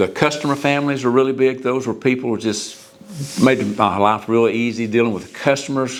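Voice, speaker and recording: Noticeable noise sits behind this voice. A man at a medium pitch speaks at a fairly quick pace. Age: 70s. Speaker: retiring sales coordinator at machinery dealer. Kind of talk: interview reflection.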